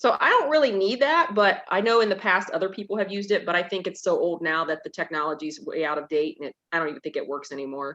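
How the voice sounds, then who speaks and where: A woman talks loudly at a very fast pace with hardly any pauses and very wide pitch swings. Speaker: librarian. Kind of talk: casual chat.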